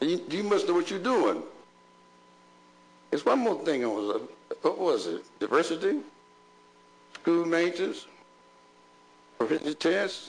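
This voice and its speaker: Against noticeable background noise, a man talks at a moderate pace with long, frequent pauses. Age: 70s. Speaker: bishop. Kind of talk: public meeting address. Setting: school board meeting. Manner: animated, preacherly.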